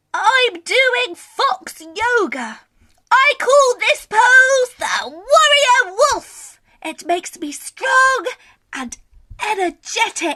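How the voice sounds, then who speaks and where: A woman puts on a character voice at an extremely high pitch. She speaks at a very slow pace. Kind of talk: bedtime story. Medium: read story.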